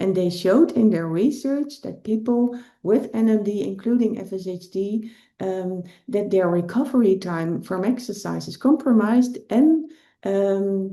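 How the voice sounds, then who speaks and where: Over audible room echo, a woman talks at a fairly slow pace in a dark, mellow tone, her intonation lively and her loudness swinging widely. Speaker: rehabilitation physician and researcher. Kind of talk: lecture. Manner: hesitant with fillers.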